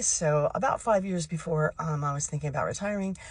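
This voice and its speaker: The voice is somewhat breathy and moves at a fairly quick pace. Its intonation is lively. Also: woman. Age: 60s. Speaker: retiree vlogger. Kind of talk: casual direct-to-camera talk. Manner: conversational with frequent fillers.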